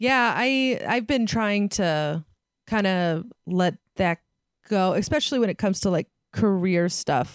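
A woman with a West Coast US accent, lively intonation, a fairly slow pace and very even loudness, in a dry, close sound with no echo. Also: medium pitch for a woman. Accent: General American, West Coast. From San Francisco Bay Area. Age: 30s. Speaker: stand-up comedian. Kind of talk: casual chat. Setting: video call.

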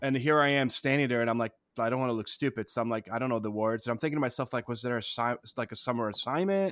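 On a very clean recording with a silent background, a man talks at a very fast pace with ordinary pitch variation. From immigrated to the US as a child. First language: not English. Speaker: history teacher, podcast co-host. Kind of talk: casual educational chat.

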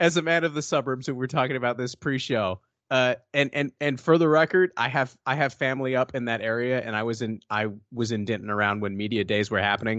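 A man's very fast, animated speech with a dry, close sound and no echo. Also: medium pitch for a man, ordinary pitch variation. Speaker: podcast co-host, sports editor. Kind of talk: casual chat. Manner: animated, jokey.

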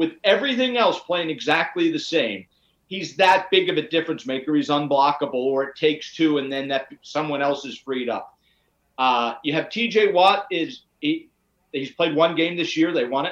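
Here is a plain, everyday voice: a man with an American accent, fairly high in pitch, moving at a moderate pace with lively intonation. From Pittsburgh, Pennsylvania. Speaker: sports broadcaster. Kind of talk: casual sports debate.

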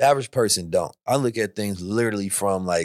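A man talks at a fairly quick pace in a normal speaking voice with fairly low pitch. The recording is very clean, with a silent background. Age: 30s. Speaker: thought leader and blockchain enthusiast. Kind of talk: casual chat.

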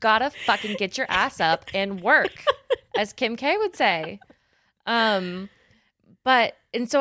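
A woman's bright, sharp tone with lively intonation, in a dry, close sound with no echo. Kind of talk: casual chat.

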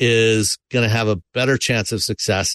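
A normal speaking voice talks at a fairly slow pace. The sound is dry and close with no echo, against a quiet background. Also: man. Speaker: automotive industry analyst. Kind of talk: casual panel discussion.

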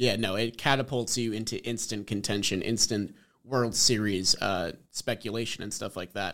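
A man speaks at a moderate pace and medium pitch with fairly even intonation in an ordinary speaking voice, on a very clean recording with a silent background. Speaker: sports podcast host. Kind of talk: casual sports chat.

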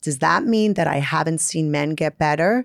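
A woman with a Brooklyn accent, very deep, low pitch and ordinary pitch variation at a moderate pace, on a very clean recording with a silent background. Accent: Brooklyn New York. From Brooklyn, New York. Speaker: therapist and author. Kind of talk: casual interview chat.

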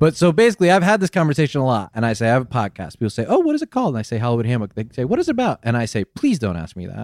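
Speaking at a very fast pace with hardly any pauses, a man swings very widely in pitch over a very clean, silent background with a dry, close sound and no echo. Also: medium pitch for a man. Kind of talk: casual chat. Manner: animated.

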